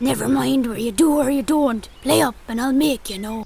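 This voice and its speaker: A woman-sounding put-on character voice, pitched high, moves at a moderate pace over light background noise. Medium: read story. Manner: gruff, commanding.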